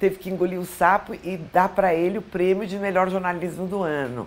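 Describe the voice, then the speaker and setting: A woman talks at a moderate pace in a normal speaking voice, her pitch medium. Her intonation stays fairly even. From Brazil, São Paulo. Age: 60s. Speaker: former TV weather presenter. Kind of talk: interview.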